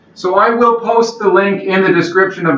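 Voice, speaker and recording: Loud speech at a moderate pace. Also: man. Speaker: channel host interviewing his grandfather. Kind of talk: video introduction. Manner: speaking loudly.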